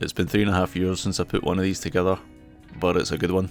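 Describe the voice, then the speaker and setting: Monotone, flat speech in a Scottish accent at very even loudness, with music in the background. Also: man. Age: 40s. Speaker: motorcyclist. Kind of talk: travel vlog narration.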